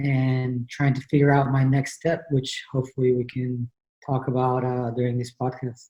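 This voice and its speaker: A man with a medium-pitched, dark and mellow voice speaks at a moderate pace in a flat monotone, sounding somewhat breathy. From Mexico, Tijuana. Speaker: tennis coach. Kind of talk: casual chat.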